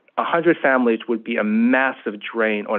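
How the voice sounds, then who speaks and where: Intonation stays fairly even while the words come at a fairly quick clip. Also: man. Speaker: attorney testifying at public hearing. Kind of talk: public hearing testimony. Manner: fast; halting, many fillers.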